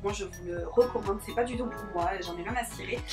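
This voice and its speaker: Music plays behind a woman whose voice has audible room echo. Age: 20s. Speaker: beauty youtuber. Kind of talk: vlog review. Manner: hesitant with many fillers.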